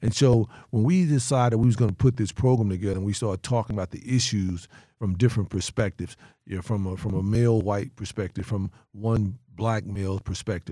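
A man with a Southern US accent, a fairly low pitch and a dark, mellow tone, at a fairly quick pace with ordinary pitch variation, on a very clean recording with a silent background. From North Carolina. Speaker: sheriff and former federal agent. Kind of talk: casual chat.

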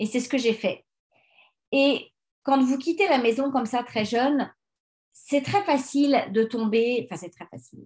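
This woman's pitch varies in an ordinary way as she talks at a fairly slow pace. Behind her, the background is quiet. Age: 40s. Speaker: life coach and podcast host. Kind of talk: solo self-help podcast monologue. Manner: hesitant, many fillers.

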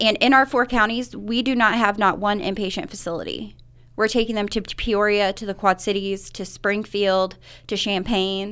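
Recorded very cleanly with a silent background, a woman with an American accent and an unremarkable speaking voice speaks at medium pitch and a moderate pace with fairly even intonation. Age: 30s. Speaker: recovery program coordinator. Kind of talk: radio interview. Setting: radio studio.

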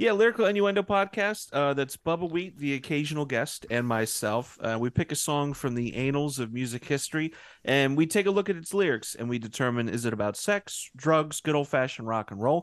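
Against a quiet background, a man with an unremarkable speaking voice talks at a fairly quick pace with a fairly high pitch, lively intonation, and hardly any pauses. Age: 30s. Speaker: podcast co-host, guest. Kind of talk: casual chat.

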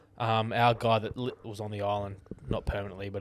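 A man with an Australian accent. His pitch sits fairly low. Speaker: podcast co-host. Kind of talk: casual chat.

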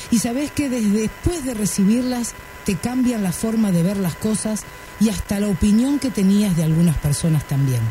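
There is noticeable background noise. A woman with a medium pitch talks at a moderate pace, her pitch swinging very widely. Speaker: radio host. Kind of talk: radio talk show.

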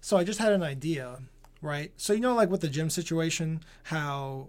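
A man speaks in an ordinary speaking voice, fairly high-pitched, at a moderate pace. The recording is very clean, with a silent background. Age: 30s. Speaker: gaming podcast co-host. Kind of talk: casual chat.

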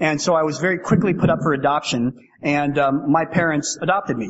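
A man speaks at a very fast pace in a fairly high pitch. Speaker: AA speaker. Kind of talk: testimony. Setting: stage with audience. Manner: fast talker.

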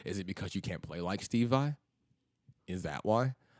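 In a very clean recording with a silent background, a man with an American accent speaks at a very fast pace with vocal fry and ordinary pitch variation. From US South, Memphis, Tennessee. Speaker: blues guitarist. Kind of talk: casual chat.

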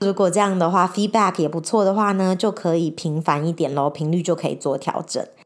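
A woman with a fairly low voice speaks at a fairly quick pace, with hardly any pauses. Her tone is animated, and her pitch varies in an ordinary way. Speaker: podcast host. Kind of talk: casual monologue. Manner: hesitant, searching for words; animated, frequent laughter.

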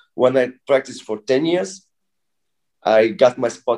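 Dark, mellow tone from a man at a medium pitch. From Bulgaria, moved to Russia at 10. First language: Bulgarian. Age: 30s. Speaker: breakdancer. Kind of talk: casual interview. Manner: halting.

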